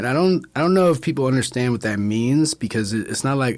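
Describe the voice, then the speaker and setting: A man talks with a New York accent. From Brooklyn, New York. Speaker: bartender. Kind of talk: casual chat.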